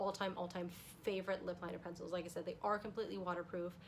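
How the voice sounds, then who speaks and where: A woman speaks. Her pitch sits in the middle range. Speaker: beauty youtuber. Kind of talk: makeup tutorial vlog. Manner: fast; animated.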